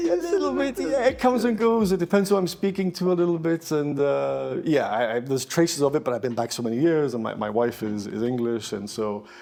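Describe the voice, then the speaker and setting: A man speaks at a fairly high pitch with very wide pitch swings. He talks at a fairly quick pace with hardly any pauses, over noticeable background noise. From Gibraltar and Canada. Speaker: lawyer. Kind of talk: casual interview. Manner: halting.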